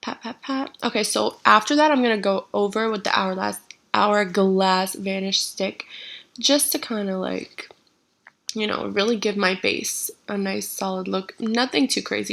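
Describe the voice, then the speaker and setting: In a plain, everyday voice, a woman speaks at a medium pitch and a fairly slow pace, with ordinary pitch variation. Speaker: beauty vlogger. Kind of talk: casual to-camera chat; makeup tutorial voiceover. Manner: casual, chatty.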